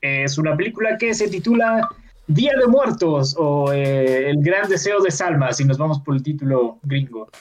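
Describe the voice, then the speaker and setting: A man talks at a fairly slow pace. His voice is fairly high and his intonation is lively. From Mexico. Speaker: film podcast host. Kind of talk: casual chat. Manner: filler-heavy, hesitant.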